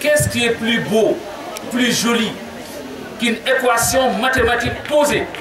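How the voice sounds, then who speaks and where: Over noticeable background noise and audible room echo, a man with an extremely high pitch speaks at a fairly slow pace with very even loudness, fairly even intonation and long, frequent pauses. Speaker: mayor and education official. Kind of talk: formal speech at ceremony. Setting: school ceremony with audience, PA microphone. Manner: formal.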